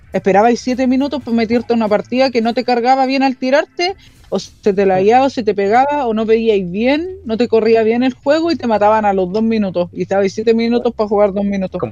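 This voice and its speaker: A woman with a Chilean accent, fairly high in pitch, at a fairly quick pace with hardly any pauses and ordinary pitch variation. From Chile, Talagante countryside. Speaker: podcast panelist. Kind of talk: casual chat.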